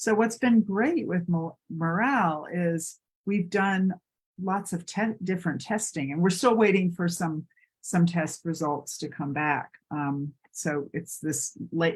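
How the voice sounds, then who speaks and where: Speaking at a very slow pace, a woman uses a fairly low pitch with ordinary pitch variation and a somewhat breathy sound. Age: 60s. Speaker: yoga teacher and client. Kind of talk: testimony. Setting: live stream. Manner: halting.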